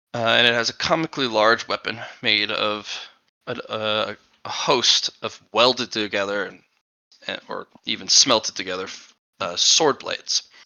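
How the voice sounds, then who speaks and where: A raspy put-on character voice from a man, medium in pitch at a moderate pace. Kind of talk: dark fantasy horror narration. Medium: actual play.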